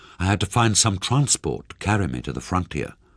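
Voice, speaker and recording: A man speaks at a moderate pace in a fairly low voice with vocal fry and very wide pitch swings. The recording is very clean with a silent background. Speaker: audiobook narrator. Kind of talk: audiobook reading of a thriller novel.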